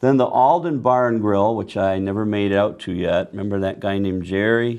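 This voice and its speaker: An ordinary speaking voice from a man, fairly low in pitch, with fairly even intonation at a moderate pace. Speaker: local TV music show host. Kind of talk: announcements.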